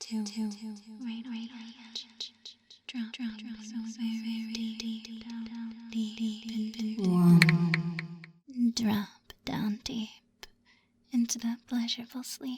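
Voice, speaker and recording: Whispering and soft-spoken, this voice moves at a very slow pace. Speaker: hypnosis and meditation guide. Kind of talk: guided hypnosis sleep script. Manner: soft, whispered, slow.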